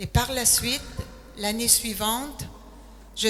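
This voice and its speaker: A woman speaks at a very slow pace with fairly even intonation. Noticeable background noise can be heard behind her. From Quebec, Quebec City. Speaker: retired nurse, missionary. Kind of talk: testimony.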